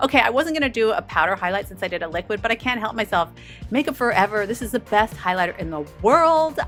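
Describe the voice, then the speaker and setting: Over music in the background, a woman talks very fast in an upbeat tone, her fairly high voice making very wide pitch swings. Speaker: beauty vlogger. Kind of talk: makeup tutorial talk to camera. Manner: upbeat, chatty.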